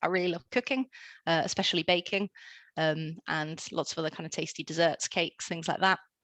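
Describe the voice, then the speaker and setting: A woman with a British accent speaks at a fairly quick pace. Her pitch is fairly low with ordinary variation, over a quiet background. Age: 20s. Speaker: engineer. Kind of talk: presentation talk. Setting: online talk with screen sharing.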